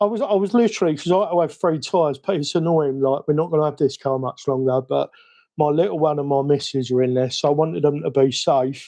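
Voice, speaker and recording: The speaker talks at a very fast pace. The voice carries a British accent. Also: man, fairly high pitch for a man, ordinary pitch variation. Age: 50s. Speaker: RC hobby streamer. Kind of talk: live stream chat. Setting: home live stream. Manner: rambling; animated.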